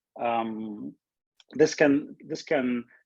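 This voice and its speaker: A man is speaking. His intonation is fairly even. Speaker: research scientist giving invited talk. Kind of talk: lecture. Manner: fast; halting, many fillers and repeats.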